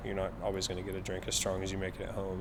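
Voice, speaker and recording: A man with an American accent, fairly low pitch and very fast pace, with audible room echo. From Oklahoma Panhandle, US. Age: 20s. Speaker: bartender. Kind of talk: documentary interview. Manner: casual.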